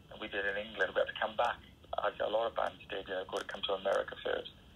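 A man with a Welsh accent at a very fast pace, noticeable background noise behind him. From Wales. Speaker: rock singer. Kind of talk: interview.

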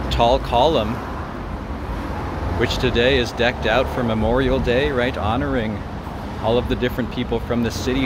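A man speaks at a moderate pace. Background noise is noticeable behind him. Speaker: walking tour vlogger. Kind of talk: casual vlog chat. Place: street. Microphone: phone near.

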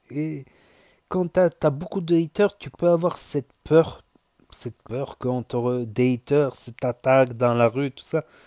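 A man with a dark, mellow tone speaks at medium pitch and a fairly slow pace, with ordinary pitch variation and big swings in loudness, in a dry, close sound with no echo on a very clean recording with a silent background. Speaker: YouTuber, news commentator. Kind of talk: reaction commentary. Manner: repetitive, halting.

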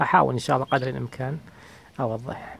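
A man's voice, heard dry with no echo. Light background noise sits underneath. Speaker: bird keeper. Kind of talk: tutorial. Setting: outdoors in garden. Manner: soft-spoken, calm. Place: garden. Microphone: phone near.

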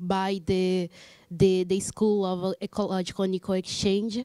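In a Portuguese accent, a woman speaks with a dark, mellow tone over a quiet background. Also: dry sound with no echo. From Brazil. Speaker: audience member. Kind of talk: audience question. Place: classroom. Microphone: handheld.

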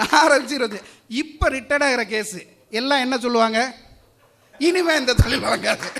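Speaking in a raised, projected voice, a man with an extremely high pitch has a bright, sharp, animated tone and ordinary pitch variation. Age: 50s. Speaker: distribution business owner, debate speaker. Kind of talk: debate speech.

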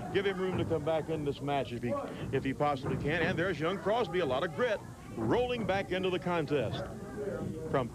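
Over loud background noise, a man rattles off words at a very fast pace in an energetic, dramatic tone with very wide pitch swings and a dry sound with no echo. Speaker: wrestling commentator. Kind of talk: live play-by-play wrestling commentary. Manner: energetic, dramatic play-by-play calling. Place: hall. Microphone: handheld.

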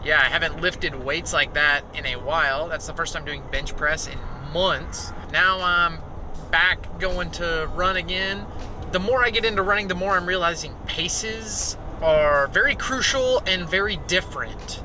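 A man at a moderate pace with ordinary pitch variation, in dry sound with no echo and noticeable background noise. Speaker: vlogger. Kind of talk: casual vlog chat. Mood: relaxed, reflective. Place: car. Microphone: phone near.

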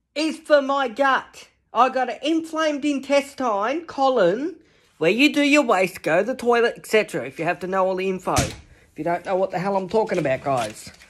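With very wide pitch swings and an extremely high pitch, a man talks at a moderate pace over light background noise. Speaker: pet vlogger. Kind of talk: casual vlog chat. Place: home room. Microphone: phone near.

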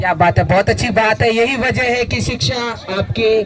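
A man speaks at a fairly quick pace with an extremely high pitch, over faint background noise.

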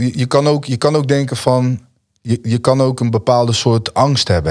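Moderate pacing and ordinary pitch variation against a quiet background. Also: man. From Netherlands. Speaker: musician; podcast guest. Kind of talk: casual interview. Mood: relaxed, reflective storytelling. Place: studio. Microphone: studio mic.

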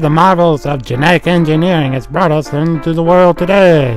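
Clear music sounds in the background as a man talks. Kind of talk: carnival barker hype. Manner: theatrical, teasing.

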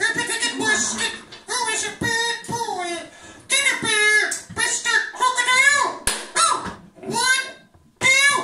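Using a cartoonish character voice, the speaker goes at a fairly slow pace with long, frequent pauses. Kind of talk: children's puppet show.

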